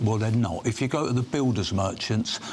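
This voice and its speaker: A man's fairly low-pitched, somewhat breathy voice. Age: 70s. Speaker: self-employed builder. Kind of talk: debate interview.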